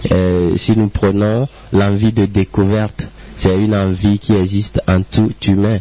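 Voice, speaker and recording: At a very slow pace, a man with a fairly low pitch speaks in a monotone, flat intonation. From Togo. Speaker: musician. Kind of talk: interview.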